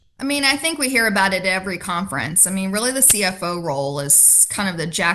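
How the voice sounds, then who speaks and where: In an ordinary speaking voice with an American accent, a woman uses lively intonation at a medium pitch. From US, Richmond, Virginia. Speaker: finance executive. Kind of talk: interview.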